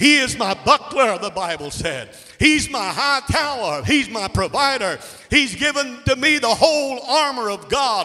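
A man's raised, projected voice at an extremely high pitch, with lively intonation and a fairly slow pace. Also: quiet background. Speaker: preacher. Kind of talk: sermon. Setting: church. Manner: animated; fervent, call-and-response. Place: church. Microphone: handheld.

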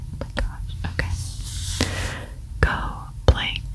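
Someone whispers in a soft-spoken way. Loud background noise fills the recording. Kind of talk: thinking aloud while solving a puzzle. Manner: soft ASMR whisper.

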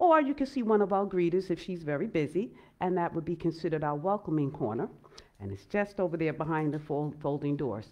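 This woman has a fairly low-pitched voice. She talks at a fairly quick pace. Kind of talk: welcome address at worship service. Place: church.

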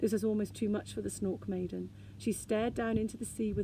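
The voice sounds natural. It is reading text aloud.

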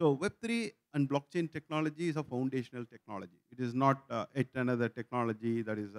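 A man with a normal speaking voice talks at a fairly quick pace with ordinary pitch variation against a quiet background. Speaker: tech company founder. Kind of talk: panel discussion. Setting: stage with audience. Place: stage. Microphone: lapel.

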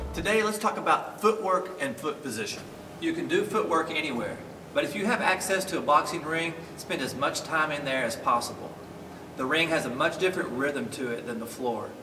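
A man talks fairly quickly while noticeable background noise sounds behind him. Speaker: boxing coach. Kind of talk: tutorial. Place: gym.

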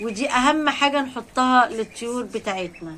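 A woman with fairly high pitch and ordinary pitch variation, over light background noise. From Egypt. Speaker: poultry-raising vlogger. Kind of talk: casual vlog talk to viewers. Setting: rooftop. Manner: animated. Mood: joyful, warm. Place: farm machine. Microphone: phone near.

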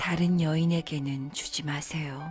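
Over music in the background, a woman speaks at a very slow pace in a calm tone. Her pitch is very deep and low, and her intonation fairly even. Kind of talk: poetry reading, audiobook narration for sleep. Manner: soft, calm, slow.

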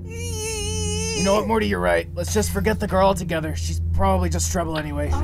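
A man's put-on character voice, very deep, raspy and strained, at a fairly quick pace over loud background noise. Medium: fan dub. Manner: rambling, slurred, repetitive, manic.

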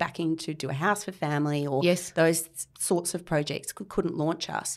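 In a very clean recording with a silent background, a woman speaks with an Australian accent. Her pitch is fairly low, her intonation fairly even, and her pace moderate. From Australia, Canberra. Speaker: architect. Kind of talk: interview.

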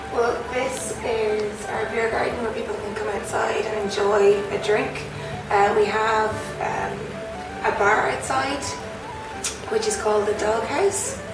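Clear music plays in the background as a woman talks at a fairly slow pace amid audible room echo. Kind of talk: interview answer, guided tour. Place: garden.

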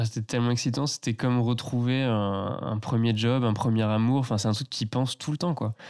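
A man with an unremarkable speaking voice talks at a fairly quick pace and medium pitch, with fairly even intonation, very even loudness and hardly any pauses. The sound is dry and close with no echo, over a quiet background. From France, Loire valley near Tours. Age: 20s. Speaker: eco entrepreneur and designer. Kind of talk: casual interview. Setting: host's living room.

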